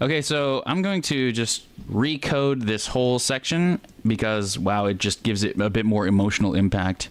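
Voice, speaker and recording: Using a plain, everyday voice, a man speaks at a moderate pace and medium pitch with lively intonation and very even loudness. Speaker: music producer livestreamer. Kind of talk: livestream tutorial, casual. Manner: casual, chatty with viewers.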